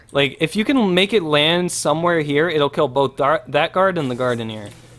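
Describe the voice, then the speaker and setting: Noticeable background noise surrounds a man who talks in a fairly high voice with lively intonation. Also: moderate pace. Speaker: gaming streamer. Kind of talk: tutorial. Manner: casual, hesitant with fillers.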